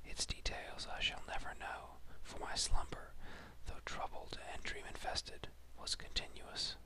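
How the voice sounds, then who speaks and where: Noticeable background noise sits under someone whispering at a fairly slow pace. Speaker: whisperer (ASMR-style reader). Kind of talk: horror story reading, whispered. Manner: whispered, slow.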